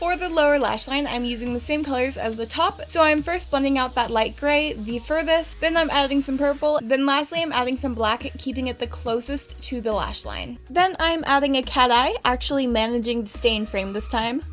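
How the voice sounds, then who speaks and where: A woman speaks in a high voice at a moderate pace, with ordinary pitch variation. Music plays in the background. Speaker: makeup artist. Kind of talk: tutorial. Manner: casual.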